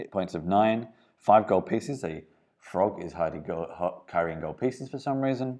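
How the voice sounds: Here is a natural reading voice. The intonation is lively.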